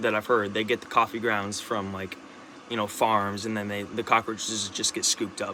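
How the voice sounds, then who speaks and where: A man's fairly low voice at a moderate pace, with noticeable background noise. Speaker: vlogger. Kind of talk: casual monologue. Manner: halting, many restarts and repetitions; rambling, animated.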